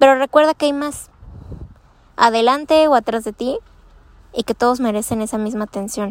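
Her voice is high and shrill as a woman speaks at a moderate pace with ordinary pitch variation and long, frequent pauses, in a dry, close sound with no echo. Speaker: podcast host. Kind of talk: casual monologue. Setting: outdoors outside a school. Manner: halting.

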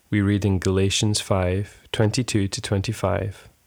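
The man's tone is calm, his pitch fairly low and his intonation monotone and flat. The recording is very clean with a silent background. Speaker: prayer podcast leader. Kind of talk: devotional prayer and scripture reading, led aloud. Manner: calm, reverent, slow and measured.

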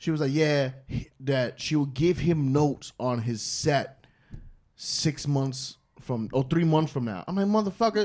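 A man talks with a New York accent and lively intonation. His pitch is fairly high and his pace fairly slow. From New York City. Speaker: stand-up comedian. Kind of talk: casual chat.

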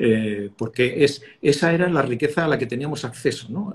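A somewhat breathy man speaks at a fairly high pitch with lively intonation. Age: 60s. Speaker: communication expert, former broadcast journalist. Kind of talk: interview. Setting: video call. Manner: halting, with frequent repetitions and fillers.

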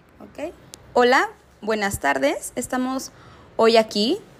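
A woman with lively intonation. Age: young. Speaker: student interviewer. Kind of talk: interview.

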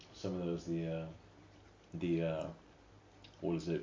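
A man's very deep, low voice with an American accent, at a moderate pace amid audible room echo. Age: 30s. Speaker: podcast co-host. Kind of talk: casual chat.

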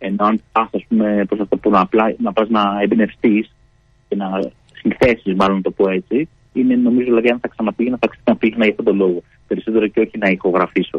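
This man has a normal speaking voice with a fairly low pitch. He talks fairly quickly with fairly even intonation. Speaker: band member. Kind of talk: radio interview. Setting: phone call.

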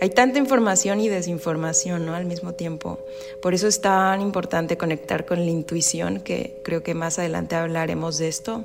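A woman with a fairly low pitch speaks at a moderate pace with lively intonation. Noticeable background noise runs behind her. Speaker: spiritual wellness podcaster. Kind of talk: solo podcast monologue. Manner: stutters at times.

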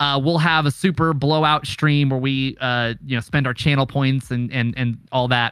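A man with a plain, everyday voice speaks at a medium pitch and moderate pace. His intonation is fairly even, with hardly any pauses. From Oklahoma. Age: 20s. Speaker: streamer and content creator. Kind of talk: casual chat. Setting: Discord call.

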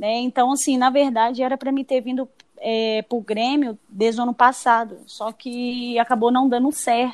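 Flat and monotone, the voice moves at a moderate pace with a dry, close sound and no echo. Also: woman, high pitch for a woman. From Espírito Santo, Brazil. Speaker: football goalkeeper. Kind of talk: interview.

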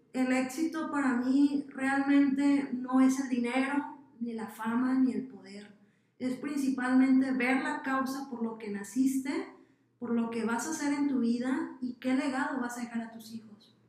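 Her pitch high and her intonation fairly even, a woman speaks at a fairly slow pace with big swings in loudness and audible room echo. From Mexico, Sinaloa. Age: 20s. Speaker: social entrepreneur. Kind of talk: interview.

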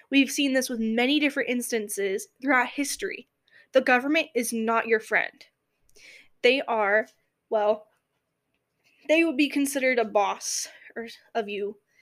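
In a very clean recording with a silent background, a high-pitched woman with an American accent speaks at a moderate pace with ordinary pitch variation and long, frequent pauses. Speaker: podcast host. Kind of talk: opinion monologue. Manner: halting, frequent self-corrections.

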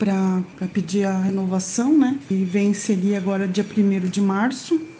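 Speaking at a very slow pace with fairly even intonation, a woman is heard over noticeable background noise. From Santa Catarina, southern Brazil. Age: 40s. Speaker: person with Parkinson's. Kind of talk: casual group chat. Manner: halting.

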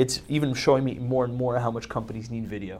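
Intonation stays fairly even in what is an ordinary speaking voice. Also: man. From Canada, Montreal. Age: 30s. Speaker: entrepreneur. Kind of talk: interview. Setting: live-streamed interview.

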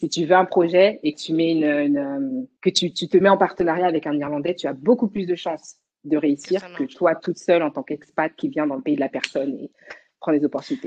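Lively intonation carries this voice along at a fairly quick pace. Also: woman. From Paris region, France. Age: young. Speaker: dancer. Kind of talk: casual chat.

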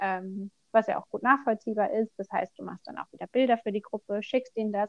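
A woman's unremarkable speaking voice, fairly high in pitch with ordinary pitch variation, at a fairly quick pace. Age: 20s. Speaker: self-employed seamstress of vaulting costumes. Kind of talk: casual interview.

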